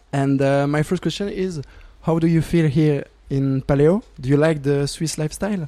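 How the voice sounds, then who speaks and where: A man talks in a French accent, his tone dark and mellow. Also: fairly high pitch for a man, ordinary pitch variation, moderate pace. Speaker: student radio interviewer. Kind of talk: interview. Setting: music festival.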